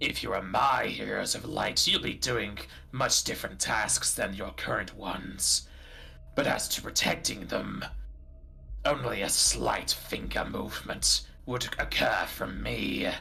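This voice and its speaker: A put-on character voice, booming and resonant, at a fairly slow pace over clear background noise. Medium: actual play. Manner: lofty, formal and archaic.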